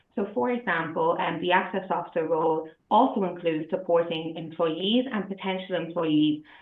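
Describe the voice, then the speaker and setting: In an Irish accent, the speaker talks at a fairly quick pace with ordinary pitch variation. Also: woman. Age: 30s. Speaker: accessibility specialist. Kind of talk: prepared presentation.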